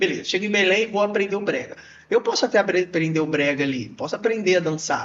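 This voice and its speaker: With a Carioca accent, a man speaks very fast at a high pitch, with ordinary pitch variation. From Rio de Janeiro, Brazil. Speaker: podcast host and dancer. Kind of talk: casual podcast conversation.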